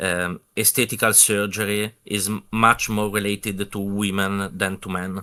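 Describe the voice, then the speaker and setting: With a non-native accent, a man speaks at a fairly slow pace. His pitch is fairly low and his tone bright and sharp. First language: not English. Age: young. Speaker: viewer on call. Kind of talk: casual chat. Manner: halting.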